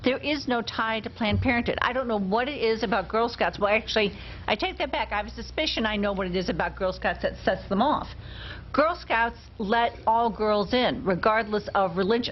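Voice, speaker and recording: The voice has vocal fry and ordinary pitch variation. Its pace is fairly quick. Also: woman, fairly high pitch for a woman. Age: old. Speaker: talk show co-host. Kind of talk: casual chat.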